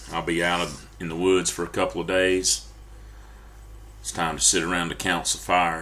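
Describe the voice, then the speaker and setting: In audible room echo, a man with an American accent and a very deep, low pitch speaks at a moderate pace, his tone bright and sharp with vocal fry. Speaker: preacher. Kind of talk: sermon. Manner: halting.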